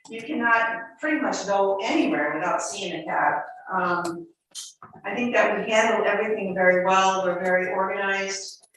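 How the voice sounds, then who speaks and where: Recorded with audible room echo, a woman speaks at a medium pitch and moderate pace with lively intonation. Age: 70s. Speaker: taxi driver speaking at public meeting. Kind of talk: public comment at town council meeting. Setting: town council meeting, hybrid in person and zoom. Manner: halting, with many restarts.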